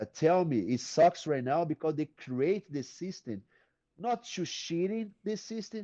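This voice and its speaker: In a dry, close sound with no echo and a quiet background, a man speaks fairly slowly with a high pitch, a dark, mellow tone and very wide pitch swings. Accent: Brazilian. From Brazil. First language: Portuguese. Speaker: retired MMA fighter and jiu-jitsu coach. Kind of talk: podcast interview answer.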